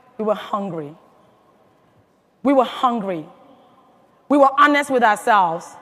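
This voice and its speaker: An animated tone with an African accent at a fairly slow pace. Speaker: motivational speaker at a sales convention. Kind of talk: motivational speech. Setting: stage with audience.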